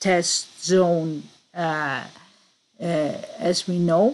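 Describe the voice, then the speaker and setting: In a Greek accent, a woman speaks very slowly at a medium pitch. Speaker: conspiracy researcher. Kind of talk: presentation. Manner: halting.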